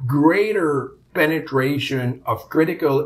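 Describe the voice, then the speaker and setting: A man with a Quebec accent speaks at a fairly high pitch. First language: French. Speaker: insurance executive. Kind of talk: interview. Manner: hesitant, many fillers.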